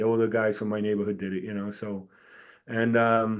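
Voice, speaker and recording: With a New York accent, a man speaks at a moderate pace. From New York City, Staten Island. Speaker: retired fire captain and author. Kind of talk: casual interview. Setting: podcast interview.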